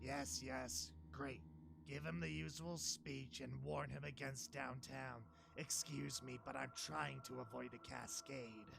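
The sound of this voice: Amid loud background noise, a man puts on a character voice with a very deep, low pitch at a fairly slow pace.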